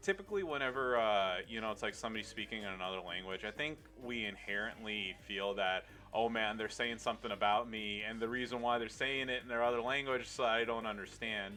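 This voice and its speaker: Over music in the background, the speech rushes by at a very fast pace with fairly even intonation. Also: man, medium pitch for a man. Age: 30s. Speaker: video game streamer. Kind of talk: casual chat.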